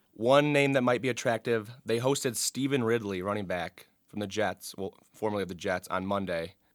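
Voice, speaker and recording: In a very clean recording with a silent background, a man with an American accent talks at a fairly quick pace in an ordinary speaking voice. His pitch sits fairly low with ordinary variation, and the sound is dry and close with no echo. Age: 20s. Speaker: student sports editor. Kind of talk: casual chat. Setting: studio.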